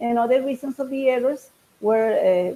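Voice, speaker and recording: A woman with a Spanish accent speaks at a moderate pace with ordinary pitch variation. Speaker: conference speaker. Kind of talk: academic presentation. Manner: halting.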